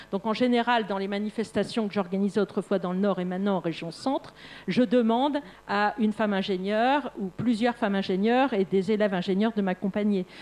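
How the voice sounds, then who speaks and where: A woman's ordinary speaking voice at a medium pitch, with ordinary pitch variation and a fairly quick pace. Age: 60s. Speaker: engineering academic and researcher. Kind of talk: panel discussion.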